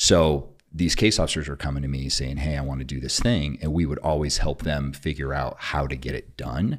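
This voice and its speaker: Hardly pausing, a man with a very deep, low pitch and vocal fry speaks at a fairly quick pace with fairly even intonation. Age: 40s. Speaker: military veteran and tech entrepreneur. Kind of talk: casual chat.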